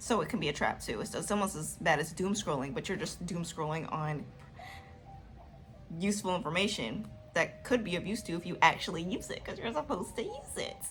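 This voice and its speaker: A woman speaks at a fairly quick pace with a fairly low pitch and lively intonation. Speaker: video diary vlogger. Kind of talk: casual monologue giving advice. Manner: fast.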